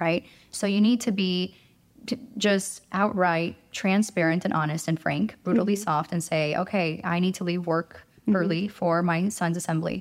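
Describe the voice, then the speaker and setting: Using a normal speaking voice, a woman talks at a medium pitch with fairly even intonation. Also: moderate pace. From Romania, raised in Chicago from age eight. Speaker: working mother. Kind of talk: podcast interview.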